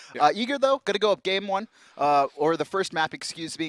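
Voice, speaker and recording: A man speaks high in pitch with very wide pitch swings, and the sound is dry with no echo. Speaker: esports commentator. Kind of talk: live esports commentary, play-by-play. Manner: fast, urgent play-by-play, pointing out action as it happens. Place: studio. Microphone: headset.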